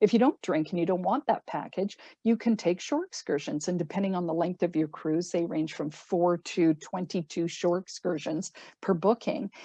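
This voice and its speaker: With a Canadian accent, a woman talks at a moderate pace in a fairly low pitch with ordinary pitch variation and a dark, mellow tone. The sound is dry and close with no echo, over a quiet background. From Canada. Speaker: cruise line sales representative. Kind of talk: sales presentation.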